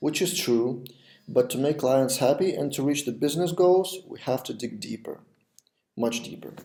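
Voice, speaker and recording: At a moderate pace, a man speaks at a medium pitch with a dark, mellow tone, vocal fry, and ordinary pitch variation. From Lithuania. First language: Lithuanian. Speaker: web development podcast host. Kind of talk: video podcast monologue. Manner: some pauses, non-native pace.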